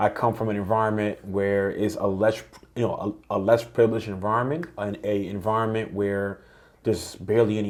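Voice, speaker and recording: Fairly quick, fairly even speech in a slight Dominican accent. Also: man. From Dominican Republic, then New York. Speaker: entrepreneur. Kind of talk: podcast interview.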